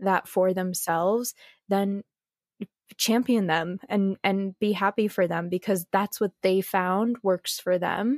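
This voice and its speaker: Here a woman uses an ordinary speaking voice at medium pitch, speaking at a fairly slow pace with fairly even intonation. The recording is very clean with a silent background and a dry, close sound with no echo. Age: 30s. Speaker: entrepreneur. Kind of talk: casual chat.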